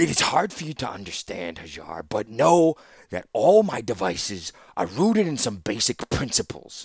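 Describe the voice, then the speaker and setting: Here a man performs a put-on character voice that sounds wheezy, at a medium pitch. The pace is moderate, and the pitch swings very widely. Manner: bellowing, snarling, contemptuous.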